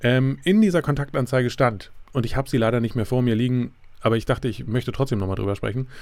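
Very fast speech comes from a man. His medium pitch shows ordinary variation. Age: 30s. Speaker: podcaster. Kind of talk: solo podcast monologue. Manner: halting, many fillers.

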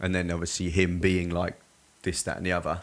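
A man's very deep, low voice in an English accent, with monotone, flat intonation. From England, Surrey. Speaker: personal trainer. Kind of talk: casual chat.

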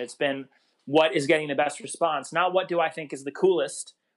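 A plain, everyday voice belongs to a man with an American accent and a fairly high pitch, moving at a fairly quick pace with fairly even intonation. The background is quiet, and the sound is dry and close with no echo. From New York, Long Island and Rockland County. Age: 20s. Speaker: songwriter and solo musician. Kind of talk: casual interview.

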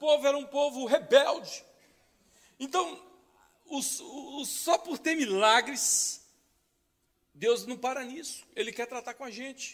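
Speaking at a very slow pace with long, frequent pauses, a man uses an extremely high pitch for a man, his loudness swinging widely. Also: ordinary pitch variation. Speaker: pastor. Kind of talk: sermon.

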